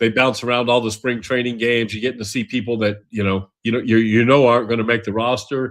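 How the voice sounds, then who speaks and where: The speech moves at a very fast pace with fairly even intonation over a quiet background. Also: man. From New Mexico, Albuquerque. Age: 60s. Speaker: sports gaming YouTuber. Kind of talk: casual podcast monologue. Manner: casual, with many fillers.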